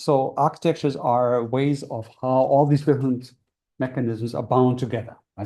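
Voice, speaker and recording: A man's medium-pitched, somewhat breathy voice, dark and mellow in tone, at a fairly quick pace. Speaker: university lecturer. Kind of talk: lecture. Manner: fast; hesitant, many fillers.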